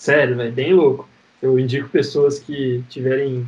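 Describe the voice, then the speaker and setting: A man speaks at a medium pitch and moderate pace. His voice is somewhat breathy. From Paraná interior, Brazil. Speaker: entrepreneur. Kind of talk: casual chat. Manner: halting.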